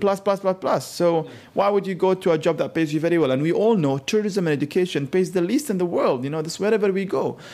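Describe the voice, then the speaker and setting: A man's very fast, nearly pauseless speech with an Arabic accent, high-pitched yet dark and mellow in tone. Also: ordinary pitch variation. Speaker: culture consultant. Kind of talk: interview.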